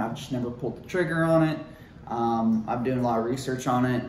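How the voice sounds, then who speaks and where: A speaker with an American accent uses fairly even intonation. Noticeable background noise and audible room echo fill the recording. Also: man. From Ohio, US Midwest. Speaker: YouTuber, gamer and bodybuilder. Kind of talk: casual vlog talk to camera. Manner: halting, filler-heavy.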